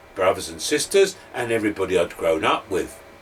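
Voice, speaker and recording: Noticeable background noise runs behind a man speaking in an East London accent. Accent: East End London. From London, East End; grew up just outside London. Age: 60s. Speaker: former teacher, educational speaker. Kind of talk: talk to camera, personal story.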